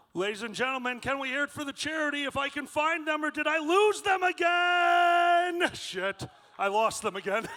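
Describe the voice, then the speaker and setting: A man's raised, projected voice at an extremely high pitch, with lively intonation. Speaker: convention emcee. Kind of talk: live stage hosting. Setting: stage with audience. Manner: loud.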